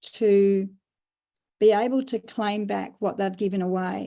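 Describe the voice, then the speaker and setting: In an Australian accent, a woman with a dark, mellow tone and medium pitch speaks fairly slowly with fairly even intonation, in a very clean recording with a silent background. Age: 60s. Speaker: business founder and carer advocate. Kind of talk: podcast interview.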